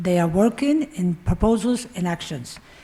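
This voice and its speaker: A somewhat breathy woman's voice at medium pitch, lively in intonation, at a moderate pace. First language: Spanish. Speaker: democracy activist. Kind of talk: panel talk.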